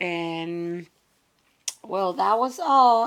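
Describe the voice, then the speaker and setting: A woman talks very slowly, her intonation lively. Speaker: crafting tutorial youtuber. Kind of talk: tutorial. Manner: casual, halting with fillers.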